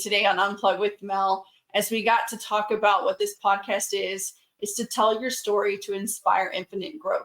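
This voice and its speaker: A woman speaks at a moderate pace with an American accent and a medium pitch. Hers is an unremarkable speaking voice with fairly even intonation. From US South. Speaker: podcast host. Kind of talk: podcast interview.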